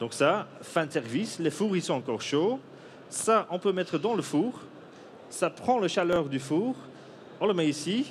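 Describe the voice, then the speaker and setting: With a non-native accent, a man of high pitch speaks at a moderate pace, his pitch swinging very widely. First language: Dutch (speaking French). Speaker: coffee roaster and inventor. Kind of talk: product demonstration. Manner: halting, many hesitations.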